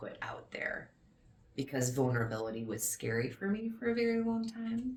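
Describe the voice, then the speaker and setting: Moderate pace from a female speaker. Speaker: fitness coach. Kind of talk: interview answers. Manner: loud.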